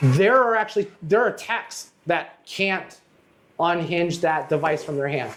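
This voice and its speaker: A man's lively intonation at a fairly slow pace. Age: 50s. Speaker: podcast host, auto glass business owner. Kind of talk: casual chat. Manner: halting, many false starts.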